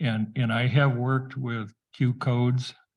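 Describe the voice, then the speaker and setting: At a very slow pace, a man speaks in a somewhat breathy voice of medium pitch. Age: 70s. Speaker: township committee member. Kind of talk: public meeting discussion.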